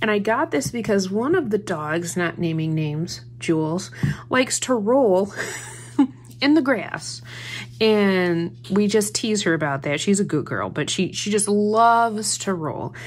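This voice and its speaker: A woman speaks at a fairly slow pace, her pitch swinging very widely. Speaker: haul vlogger. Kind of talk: casual haul chat. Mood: cheerful, amused. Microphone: phone near.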